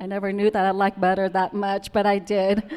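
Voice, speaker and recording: A woman with a Vietnamese accent talks at a moderate pace in a medium pitch. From Vietnam, Central Highlands. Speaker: immigrant storyteller, restaurant owner. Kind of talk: personal storytelling talk. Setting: stage with audience. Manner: halting, many fillers.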